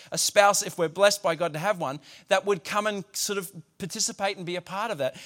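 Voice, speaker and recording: A high-pitched man with an Australian accent at a very fast pace with ordinary pitch variation. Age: 40s. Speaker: pastor. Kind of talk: sermon.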